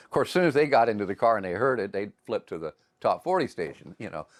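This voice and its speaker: A man at a very fast pace with lively intonation, on a very clean recording with a silent background. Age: 60s. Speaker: former country DJ and singer, documentary interviewee. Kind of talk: interview. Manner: hesitant, many fillers.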